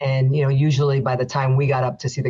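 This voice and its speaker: Speaking very fast in an American accent, a woman sounds somewhat breathy, her pitch very deep and low. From New Jersey, Union City. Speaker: federal judge. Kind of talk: interview.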